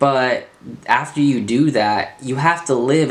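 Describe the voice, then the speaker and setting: A man at a fairly slow pace, with ordinary pitch variation and audible room echo. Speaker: transgender speaker, traveler. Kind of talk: reading a prepared speech. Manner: pauses while thinking.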